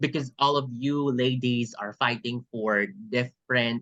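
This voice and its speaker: The speaker talks at a fairly slow pace in a Filipino accent. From Philippines. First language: Tagalog. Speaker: pageant coach and English teacher. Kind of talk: training workshop.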